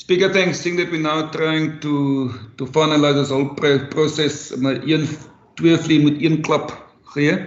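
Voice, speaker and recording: Fairly high in pitch, a man speaks at a fairly slow pace in flat, monotone intonation, with audible room echo. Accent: South African. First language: Afrikaans. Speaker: councillor. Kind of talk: council meeting debate.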